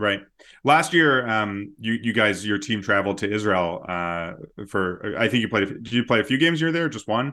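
The intonation here is lively, in an ordinary speaking voice. Words come at a moderate pace. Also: man, fairly low pitch for a man. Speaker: podcast host and interviewer. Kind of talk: casual banter and interview.

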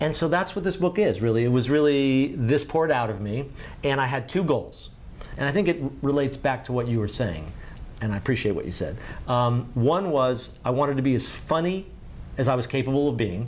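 Audible room echo around a man's fairly quick speech. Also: medium pitch for a man, lively intonation. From US South, Miami, Florida. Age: 50s. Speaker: writer and former editor. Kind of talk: casual interview.

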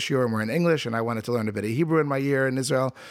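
A man's medium-pitched voice with an American accent, ordinary pitch variation, and noticeable background noise. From US, southern New Jersey. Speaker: rabbi, outreach organization co-founder. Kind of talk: interview, personal story. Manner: halting, with repetitions.

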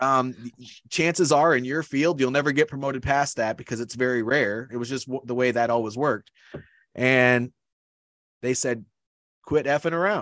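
A man at a moderate pace with ordinary pitch variation and long, frequent pauses. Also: medium pitch for a man. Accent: American. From Iowa, US Midwest. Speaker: leadership coach and army veteran. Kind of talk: interview conversation.

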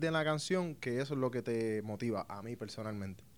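The recording is very clean with a silent background as a man talks with ordinary pitch variation. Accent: Puerto Rican. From Puerto Rico. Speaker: professional baseball pitcher. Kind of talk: casual interview. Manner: halting, many fillers.

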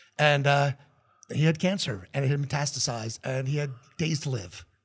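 With an American accent, a man speaks at a fairly high pitch and somewhat breathy, on a very clean recording with a silent background. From New Jersey. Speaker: radio station owner. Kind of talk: casual chat.

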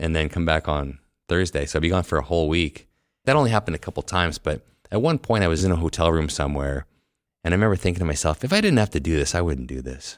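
With a Canadian accent and a very deep, low pitch, a man speaks at a very fast pace in a very clean recording with a silent background and a dry, close sound with no echo. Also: ordinary pitch variation. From Canada, Winnipeg. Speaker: orthodontist. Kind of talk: casual chat. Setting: conference venue.

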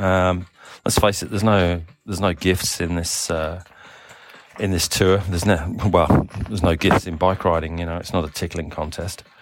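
In a monotone, flat intonation, a man speaks with a very deep, low pitch. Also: moderate pace. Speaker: cycling team sports director. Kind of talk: audio diary. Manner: hesitant, many fillers.

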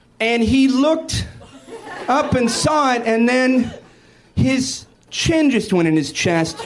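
Speech comes at a very slow pace with lively intonation, very even loudness and long, frequent pauses. There is noticeable background noise and audible room echo. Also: man, extremely high pitch for a man. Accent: American. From US Pacific Northwest, Seattle. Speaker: stand-up comedian. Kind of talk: stand-up. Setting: stage with audience.

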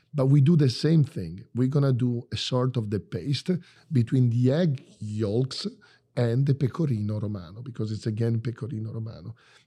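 In an Italian accent, a man speaks at a medium pitch with a dark, mellow tone. He sounds somewhat breathy on a very clean recording with a silent background. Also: ordinary pitch variation, moderate pace. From Bologna, Italy. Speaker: chef. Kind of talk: interview. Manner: animated.

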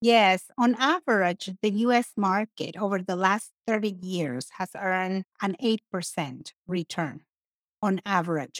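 A woman in a Mexican accent speaks at a medium pitch and a fairly slow pace. Her intonation is lively, and the sound is dry and close with no echo. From Mexico. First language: Spanish. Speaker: financial services professional and CPA. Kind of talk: casual interview.

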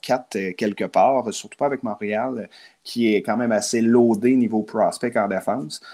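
Recorded very cleanly against a silent background, a man speaks at medium pitch with a dark, mellow tone. His intonation stays fairly even at a moderate pace. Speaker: hockey card collector and hobby shop figure. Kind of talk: casual chat.

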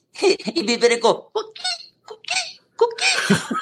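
This put-on character voice has an extremely high pitch and a playful tone. Its pitch swings very widely. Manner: chirping, playful.

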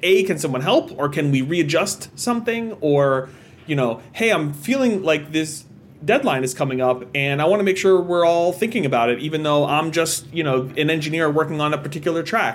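This man's voice sits fairly high, with lively intonation and a fairly quick pace. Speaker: podcast co-host and business partner. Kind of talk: casual chat. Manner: calm.

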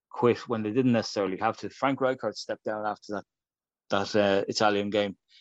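A man with an Irish accent and a medium pitch. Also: quiet background. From Ireland. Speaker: football writer and author. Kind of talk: casual interview.

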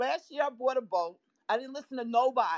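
Speaking in a New York accent, a woman uses a high pitch that swings very widely. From Florida. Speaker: photography and film teacher. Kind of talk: casual chat. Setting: live online audio room.

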